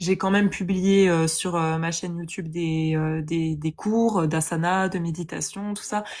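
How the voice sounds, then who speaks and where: Her pitch fairly low, a woman talks at a fairly slow pace with fairly even intonation and hardly any pauses. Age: 20s. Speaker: yoga teacher. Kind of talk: testimony. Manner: hesitant, many fillers.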